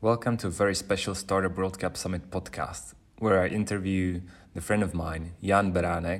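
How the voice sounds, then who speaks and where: A man's very deep, low voice with a Czech accent, monotone and flat in intonation, at a moderate pace. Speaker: podcast host. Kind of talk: interview; scripted intro.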